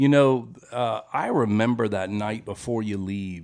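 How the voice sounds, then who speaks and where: With an American accent, a man has an ordinary speaking voice, ordinary pitch variation and a moderate pace. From US South, Memphis. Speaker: recovering alcoholic sharing his story. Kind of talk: testimony.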